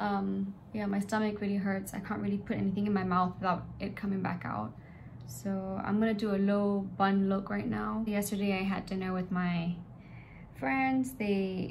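A somewhat breathy voice at a moderate pace with ordinary pitch variation over light background noise. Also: woman. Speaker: vlogger. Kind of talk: casual vlog chat. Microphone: phone near.

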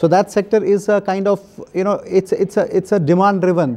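A dark, mellow tone at a fairly quick pace with ordinary pitch variation, in an Indian accent. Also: man. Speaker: bank official. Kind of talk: interview. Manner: halting, many fillers. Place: home room. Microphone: lapel.

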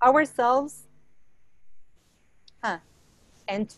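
Against a quiet background, a woman with a high pitch talks at a fairly slow pace with ordinary pitch variation, the sound dry with no echo. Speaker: presenter. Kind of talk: lecture. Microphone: video call.

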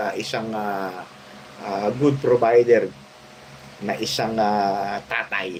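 A man talks while noticeable background noise fills the clip. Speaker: vlogger, retired police officer. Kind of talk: casual vlog commentary. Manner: halting, many filler sounds.

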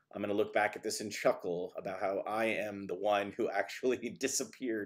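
Over a quiet background, the speaker goes at a fairly quick pace with ordinary pitch variation. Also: man. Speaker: marketing director and interviewer; interviewer. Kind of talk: live webinar interview. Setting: video call. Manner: animated. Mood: friendly, joking.

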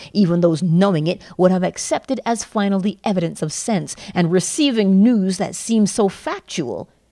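In a dark, mellow tone, a woman delivers her words at a moderate speed. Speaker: audiobook narrator. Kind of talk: lecture reading.

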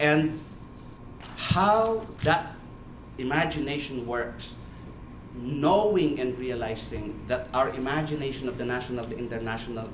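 A man's medium-pitched voice with audible room echo and light background noise. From Philippines. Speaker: church official in international affairs. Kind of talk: panel remarks. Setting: conference room with audience. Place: meeting room.

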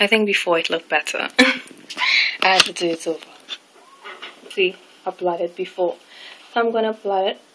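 A woman speaks at a fairly quick pace with long, frequent pauses over noticeable background noise. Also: medium pitch for a woman. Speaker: beauty vlogger. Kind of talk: makeup tutorial talk to camera. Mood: relaxed, friendly. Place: home room. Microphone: webcam.

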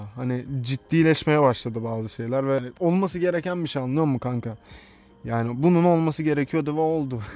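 Talking at a fairly quick pace, a man with a fairly high pitch and a dark, mellow tone shows ordinary pitch variation in a dry sound with no echo. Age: 20s. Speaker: YouTuber. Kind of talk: casual Q&A video. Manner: casual, frequent laughter. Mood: playful, joking. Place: garden. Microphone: studio mic.

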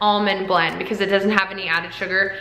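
Room echo is audible. The speaker is a woman. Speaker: vlogger. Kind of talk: casual vlog chat. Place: kitchen. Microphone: phone near.

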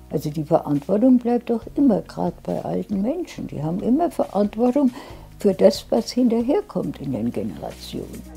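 A moderate pace over faint music in the background. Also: woman. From Palatinate, Germany. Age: 80s+. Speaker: city council member. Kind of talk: interview answer. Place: home room. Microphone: lapel.

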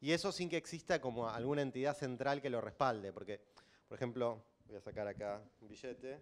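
A man in a Rioplatense accent, fairly quick, with ordinary pitch variation. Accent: Argentine Rioplatense Spanish. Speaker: systems engineer, bitcoin developer; conference speaker. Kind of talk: lecture. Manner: loud. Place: hall. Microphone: handheld.

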